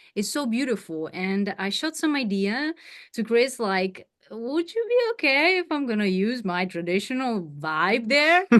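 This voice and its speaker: Her voice is fairly high, and she speaks with a Ukrainian accent. This woman talks at a moderate pace with very wide pitch swings against a quiet background. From Ukraine, mountain region. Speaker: singer. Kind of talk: interview.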